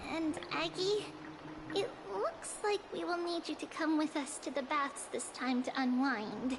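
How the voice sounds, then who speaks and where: Over loud background noise, a woman uses a put-on character voice. She speaks at a fairly slow pace in a high pitch. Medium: video game. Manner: earnest.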